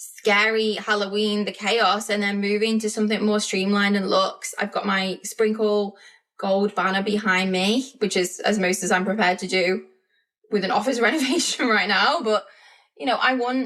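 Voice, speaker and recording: A woman talks with fairly even intonation. Her pitch sits in the medium range. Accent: British. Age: 40s. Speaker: podcast host, business coach. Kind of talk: casual podcast monologue. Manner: fast.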